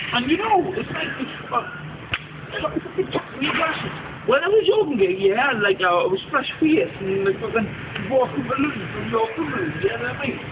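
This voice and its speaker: Amid noticeable background noise, a man with a Geordie accent speaks at an extremely high pitch with very wide pitch swings. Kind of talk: casual street talk. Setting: outdoors at a bus stop.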